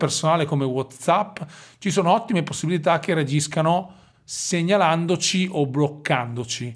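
A man speaks with a fairly high pitch. His intonation is lively. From Romagna, Italy. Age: 40s. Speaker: digital marketing consultant. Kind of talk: casual interview.

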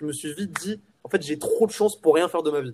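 At a fairly quick pace, a man speaks in an ordinary speaking voice. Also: dry, close sound with no echo. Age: 20s. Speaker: entrepreneur. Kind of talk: casual chat.

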